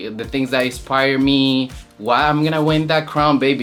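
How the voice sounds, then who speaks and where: The speaker has a Spanish accent. Music plays in the background. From Colombia. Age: 20s. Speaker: drag queen competitor. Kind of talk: interview confessional.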